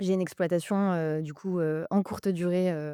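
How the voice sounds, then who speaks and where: A woman's dark, mellow tone, fairly slow and fairly even in intonation, in a very clean, dry, close recording with no echo and a silent background. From France, housing estate. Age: 30s. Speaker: investor and podcaster. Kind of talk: casual interview.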